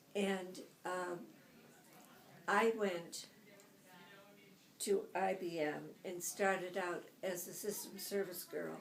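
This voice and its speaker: Speaking very slowly with an American accent, a woman uses vocal fry, a medium pitch and monotone, flat intonation, leaving long, frequent pauses. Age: 80s+. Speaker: retired computer pioneer. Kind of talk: interview answer.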